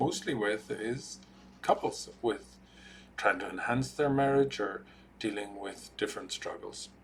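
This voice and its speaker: In an Irish accent, a man speaks at a moderate pace. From Ireland. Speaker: marriage and family therapist. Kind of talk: talking-head explainer video.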